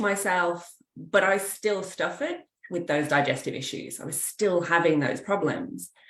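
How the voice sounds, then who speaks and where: Moderately paced, a woman with an English accent speaks at a fairly low pitch. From England. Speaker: kinesiologist. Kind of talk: interview.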